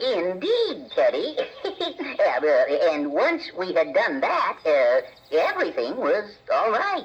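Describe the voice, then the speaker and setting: The speaker puts on a character voice at a fairly slow pace. Long, frequent pauses break up the lines. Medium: audio drama. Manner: halting, stammering.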